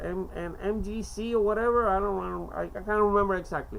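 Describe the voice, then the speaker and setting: Amid audible room echo, a woman speaks fairly quickly at a medium pitch with fairly even intonation. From Cuba. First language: Spanish. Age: 50s. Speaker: amateur poetry reader. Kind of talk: casual monologue; reading aloud. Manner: halting.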